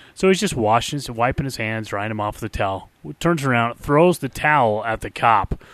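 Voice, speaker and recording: Against a quiet background, a man with a plain, everyday voice speaks at a fairly quick pace and medium pitch, his intonation lively. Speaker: podcast co-host.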